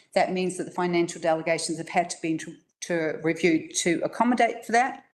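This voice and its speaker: A woman with a New Zealand accent talks at a fairly quick pace, her pitch fairly low with ordinary variation and big swings in loudness. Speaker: council staff member presenting policy. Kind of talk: council briefing presentation. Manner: fast.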